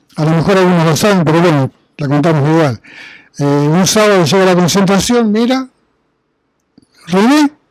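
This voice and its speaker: A man with a high pitch talks at a moderate pace. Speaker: sports journalist. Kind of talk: panel discussion at a book presentation, telling an anecdote. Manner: animated storytelling.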